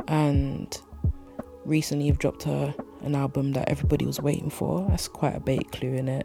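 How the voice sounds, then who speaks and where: With music in the background, a woman talks at a moderate pace in a relaxed, warm tone. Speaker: radio host. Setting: pre-recorded away from the studio. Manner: relaxed, warm and conversational, with frequent 'you know' and laughs.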